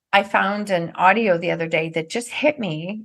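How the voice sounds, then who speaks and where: With a normal speaking voice and a medium pitch, a woman talks at a moderate pace with ordinary pitch variation. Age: 50s. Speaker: NLP trainer and author. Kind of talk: casual chat.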